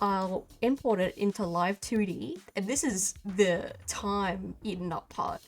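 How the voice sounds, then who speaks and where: Over music in the background, a woman speaks at a very slow pace with ordinary pitch variation. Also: medium pitch for a woman. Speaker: digital artist and animator. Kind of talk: casual software tutorial talk. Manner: casual, informal.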